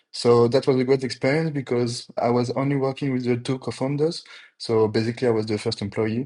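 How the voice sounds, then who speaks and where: A man with a dark, mellow tone talks at a fairly quick pace over a quiet background. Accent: French. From France, Paris. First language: French. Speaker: GTM engineer. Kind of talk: podcast interview.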